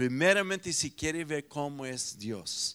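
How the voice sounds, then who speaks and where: With lively intonation, a man speaks in an American accent. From United States. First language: English (speaking Spanish). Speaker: pastor. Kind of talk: sermon.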